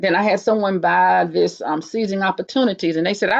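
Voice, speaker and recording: A woman speaks with a North Carolina accent and vocal fry. The sound is dry and close, with no echo. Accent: US Southern (North Carolina). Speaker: writer, poet and nurse. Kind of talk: interview. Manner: fast.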